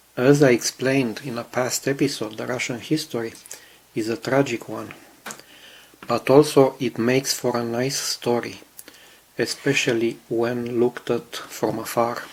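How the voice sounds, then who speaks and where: The speech runs at a moderate pace with noticeable background noise. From Romania. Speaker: scale model builder. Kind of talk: video commentary.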